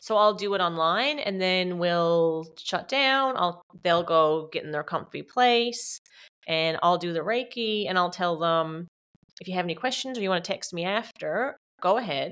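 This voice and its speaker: In a plain, everyday voice, a woman speaks at a moderate pace and medium pitch with lively intonation on a very clean recording with a silent background. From Canada, Newfoundland. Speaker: Reiki teacher, former paramedic. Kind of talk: casual interview.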